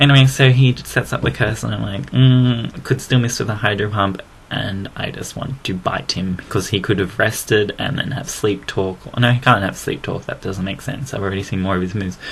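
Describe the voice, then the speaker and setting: A man with an Australian accent, fairly low in pitch, with ordinary pitch variation and hardly any pauses, over noticeable background noise. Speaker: gaming commentator. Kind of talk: game commentary narration. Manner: casual, rambling and fast.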